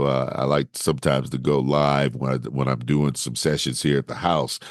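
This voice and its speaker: An American accent at a moderate pace. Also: man. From Gary, Indiana. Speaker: voiceover artist. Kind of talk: interview answer. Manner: casual, conversational.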